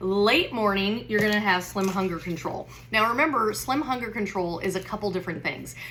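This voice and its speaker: Speaking at a fairly quick pace with hardly any pauses, a woman uses an animated tone, medium pitch and ordinary pitch variation, with noticeable background noise and audible room echo. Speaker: wellness product seller. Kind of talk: product tutorial. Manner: fast.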